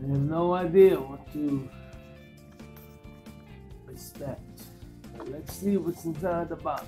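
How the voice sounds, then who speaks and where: A man talks at a very slow pace with a fairly high pitch and fairly even intonation, leaving long, frequent pauses. His loudness swings widely, and music plays in the background. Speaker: tech YouTuber. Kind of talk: casual talk to camera.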